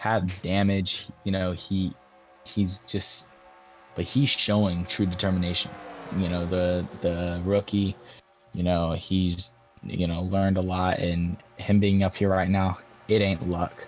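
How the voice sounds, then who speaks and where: Music plays in the background as a man talks with a very deep, low pitch. His intonation is monotone and flat, broken by long, frequent pauses. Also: fairly slow pace. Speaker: sim racing commentator. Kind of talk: live commentary.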